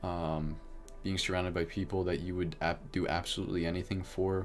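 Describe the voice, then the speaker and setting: The intonation is monotone and flat, with a calm tone. Music plays in the background. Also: man. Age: 20s. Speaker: livestreamer. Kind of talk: casual chat. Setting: livestream. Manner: slow. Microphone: new mic.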